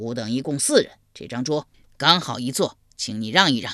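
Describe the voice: The voice is gruff and moves at a moderate pace against a quiet background. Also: man, medium pitch for a man.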